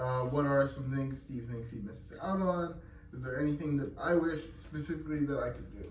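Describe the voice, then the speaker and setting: Noticeable background noise and audible room echo surround a man with a fairly high voice who talks at a fairly quick pace, showing ordinary pitch variation and big swings in loudness. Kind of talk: casual Q&A chat. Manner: fast when excited, sometimes hard to understand.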